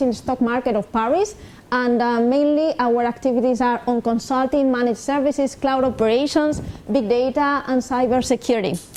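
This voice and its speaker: A woman speaks with a high pitch and a Spanish accent. Noticeable background noise can be heard behind her. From Spain. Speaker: industry program manager, invited speaker. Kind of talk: lecture. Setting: summer school lecture hall with audience.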